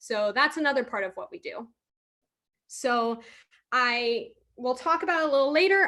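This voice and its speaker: Raised and projected, a woman's high voice carries lively intonation in an American accent. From Ohio, US Midwest. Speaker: marine conservation biologist. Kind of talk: career talk to online audience. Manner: fast when excited.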